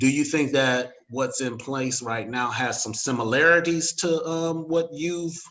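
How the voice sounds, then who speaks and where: At a fairly slow pace, a man speaks in an unremarkable speaking voice with a fairly high pitch and ordinary pitch variation. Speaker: interviewer, local magazine forum host. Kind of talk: casual interview talk.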